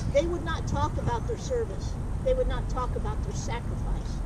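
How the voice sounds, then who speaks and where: Loud background noise fills the recording. The talking proceeds at a moderate pace. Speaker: police deputy chief. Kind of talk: motivational pep talk to recruits. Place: open country.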